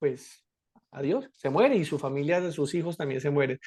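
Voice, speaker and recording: The speaker is a man. His delivery moves fairly quickly. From Colombia, Bogotá (raised), born in Cali. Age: 30s. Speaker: political candidate. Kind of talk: interview.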